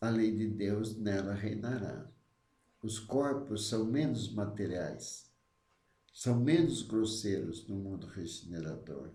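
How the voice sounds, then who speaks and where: Amid audible room echo, a man with a fairly low pitch speaks at a very slow pace, somewhat breathy, with a dark, mellow tone and ordinary pitch variation. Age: 70s. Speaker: spiritist study leader. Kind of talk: religious study talk. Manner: halting.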